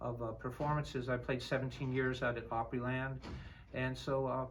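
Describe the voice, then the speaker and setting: A man speaks at a fairly quick pace with an American accent. His voice is somewhat breathy, and room echo is audible. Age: 60s. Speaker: flute instructor. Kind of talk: instrument demonstration and interview.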